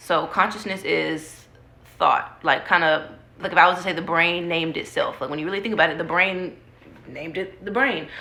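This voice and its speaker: Speaking at a fairly quick pace with ordinary pitch variation, a woman is heard with audible room echo. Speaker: book vlogger. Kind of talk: casual talk to camera about books. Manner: casual, filler-heavy speech.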